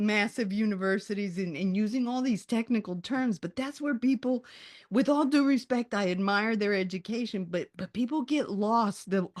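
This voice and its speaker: A woman talks at a fairly high pitch and a moderate pace in an animated tone, with ordinary pitch variation and hardly any pauses. The sound is dry and close with no echo, and the background is quiet. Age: 60s. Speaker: author and resilience coach. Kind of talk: interview.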